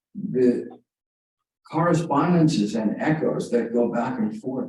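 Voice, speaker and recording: Audible room echo surrounds a man who speaks at a fairly slow pace. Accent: American. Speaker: author. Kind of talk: reading aloud; casual chat. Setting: library reading room with audience. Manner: halting.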